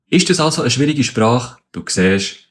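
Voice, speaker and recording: A man speaks with a Bernese accent. His pitch swings very widely. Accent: Bernese Swiss German. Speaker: spoken word artist explaining language facts. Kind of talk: casual explainer.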